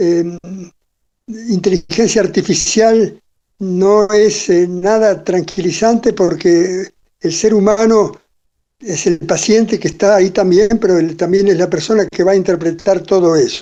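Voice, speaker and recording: Fairly slow and very even in loudness, a man speaks at a high pitch with a dark, mellow tone and fairly even intonation. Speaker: cardiologist and medical researcher. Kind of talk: interview. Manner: halting, many fillers.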